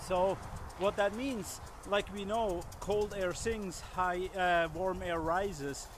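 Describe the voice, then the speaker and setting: Speaking at a very slow pace with a non-native accent, a man with a high pitch and fairly even intonation is heard over noticeable background noise, the sound dry with no echo. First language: not English. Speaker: survival instructor. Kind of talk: outdoor tutorial. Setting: outdoors in snow. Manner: halting, many fillers. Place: forest.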